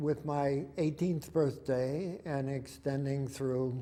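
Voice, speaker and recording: A man with a dark, mellow tone talks amid audible room echo. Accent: American. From Indiana and Pittsburgh area, US. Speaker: war veteran. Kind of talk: oral history interview. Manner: halting.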